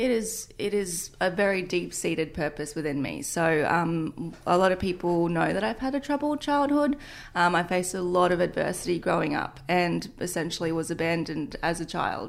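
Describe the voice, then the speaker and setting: Speaking at a moderate pace with lively intonation and hardly any pauses, the voice has an Australian accent on a very clean recording with a silent background. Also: woman, fairly low pitch for a woman. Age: 20s. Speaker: fitness entrepreneur and influencer. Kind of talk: interview testimony.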